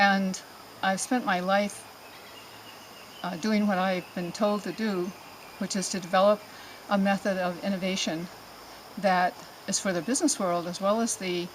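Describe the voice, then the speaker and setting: Over noticeable background noise, a woman speaks at a moderate pace and medium pitch with fairly even intonation and long, frequent pauses. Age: 70s. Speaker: patient giving a testimonial. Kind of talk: testimony. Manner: halting, with many fillers.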